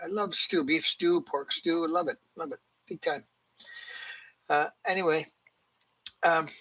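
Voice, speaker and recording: In a dry, close sound with no echo, a speaker with a Canadian accent talks at a fairly slow pace with long, frequent pauses, a bright, sharp tone and fairly even intonation. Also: man, high pitch for a man. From Canada. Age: 70s. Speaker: retiree telling personal stories. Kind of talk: casual monologue. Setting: at home, TV in the room. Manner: halting, many fillers.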